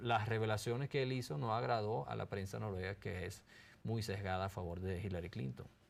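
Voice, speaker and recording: A fairly low-pitched man at a fairly quick pace, with lively intonation. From Norway, far north. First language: Norwegian (speaking Spanish). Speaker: investigative journalist and author. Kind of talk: interview.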